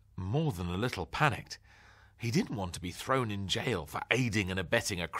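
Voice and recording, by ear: A natural voice, reading aloud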